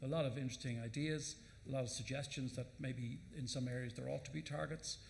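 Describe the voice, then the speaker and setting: Speaking very fast with an Irish accent, a man's voice carries vocal fry amid audible room echo. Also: medium pitch for a man, ordinary pitch variation. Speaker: government minister. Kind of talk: panel Q&A answer. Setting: conference stage with audience. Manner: halting.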